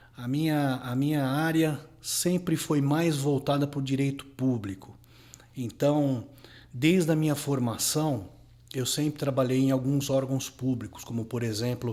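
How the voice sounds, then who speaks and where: Fairly slowly and with fairly even intonation, a man speaks in a dark, mellow tone at a fairly high pitch. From Brazil, São Paulo city. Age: 40s. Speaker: lawyer. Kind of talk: interview.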